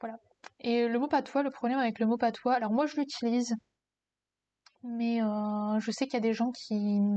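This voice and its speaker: Flat and monotone, a woman's fairly high voice with a dark, mellow tone moves at a fairly slow pace. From northern France, mining basin near Lille. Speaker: streamer. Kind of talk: casual live-stream chat. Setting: live stream. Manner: hesitant, many fillers.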